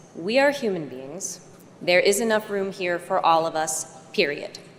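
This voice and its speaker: Someone speaks at a moderate pace with an American accent. Noticeable background noise runs under the voice. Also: woman, medium pitch for a woman. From United States. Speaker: actress. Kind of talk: award acceptance speech.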